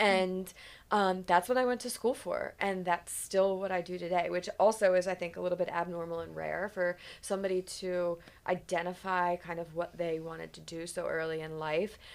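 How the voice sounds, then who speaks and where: Her pitch fairly low, a woman speaks with fairly even intonation. Her loudness swings widely. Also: moderate pace. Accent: Philadelphia. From US Northeast, Philadelphia suburbs. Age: 40s. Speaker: podcast host, PR agency owner. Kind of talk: casual chat.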